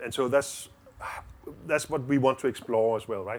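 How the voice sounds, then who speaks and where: A man with a Danish accent talks at a fairly quick pace. His medium pitch carries fairly even intonation. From Denmark. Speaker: diplomat and lawyer. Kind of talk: interview. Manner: halting, many repeated words.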